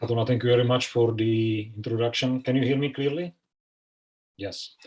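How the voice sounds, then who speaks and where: A man's medium-pitched voice with a Czech accent, at a fairly quick pace and with fairly even intonation. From Czech Republic. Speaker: conservation expert. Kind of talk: presentation. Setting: online video call.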